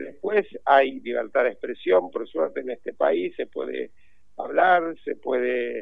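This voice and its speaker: A man with a Rioplatense accent, at a very slow pace. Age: 60s. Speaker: journalist and cultural manager. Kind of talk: interview. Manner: halting, many repetitions.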